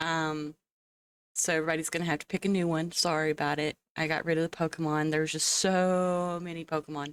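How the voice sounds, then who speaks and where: The speech comes at a fairly quick pace in a monotone, flat intonation, with a dry, close sound and no echo. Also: woman, very deep, low pitch for a woman. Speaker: video game streamer. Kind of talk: live stream chat with viewers. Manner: casual, chatty.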